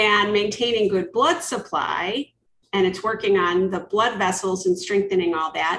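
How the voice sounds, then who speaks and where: A woman uses a plain, everyday voice of medium pitch with ordinary pitch variation. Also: moderate pace. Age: 50s. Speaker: podcast host and leadership coach. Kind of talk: casual interview chat.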